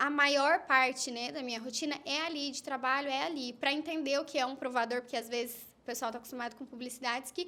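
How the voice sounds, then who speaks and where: The voice is raised and projected, with a bright, sharp tone, a very fast pace and hardly any pauses. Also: woman, high pitch for a woman. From Minas Gerais, Brazil (Campos Gerais). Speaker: influencer. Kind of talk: casual chat.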